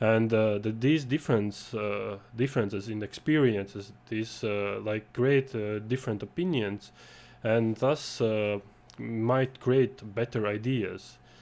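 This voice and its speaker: This man speaks with a non-native accent at a fairly slow pace. His intonation is fairly even. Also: medium pitch for a man. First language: not English. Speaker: game jam organizer and panel host. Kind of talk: panel discussion. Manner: halting, many fillers.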